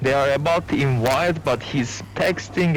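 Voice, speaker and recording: Very slow, lively speech from a fairly high-pitched man with a non-native accent. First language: not English. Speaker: gamer. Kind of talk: casual chat. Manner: halting.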